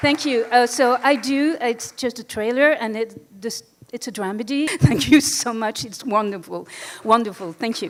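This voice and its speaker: A woman with a French accent speaks at a moderate pace in a fairly high voice, with ordinary pitch variation. Her loudness swings widely, and there is noticeable background noise. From France. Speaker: filmmaker. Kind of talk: award acceptance speech.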